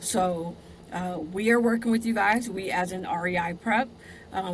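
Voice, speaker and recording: With an American accent, a woman speaks at a moderate pace and medium pitch in fairly even intonation, an unremarkable speaking voice. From US West, Southern California, Compton. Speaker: podcast host. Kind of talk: casual interview.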